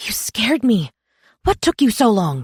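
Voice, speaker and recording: A female-sounding, shaky put-on character voice at a fairly high pitch swings very widely in pitch at a moderate pace, on a very clean recording with a silent background. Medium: read story. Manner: soft, shaky, anxious.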